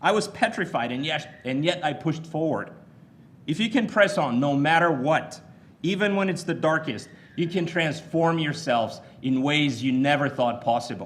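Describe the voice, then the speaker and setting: A moderate pace with audible room echo. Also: man, fairly high pitch for a man, ordinary pitch variation. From Bulgaria. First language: Bulgarian. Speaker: commencement speaker. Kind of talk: commencement speech. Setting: stage with audience.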